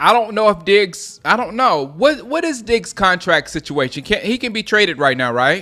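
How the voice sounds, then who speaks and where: A man with an American accent speaks at a moderate pace in a high pitch, his raised, projected voice bright and sharp in tone, with very wide pitch swings and hardly any pauses. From US South, Gaffney, South Carolina. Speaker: sports live streamer. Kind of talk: live game commentary and chat. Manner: casual, repetitive, halting.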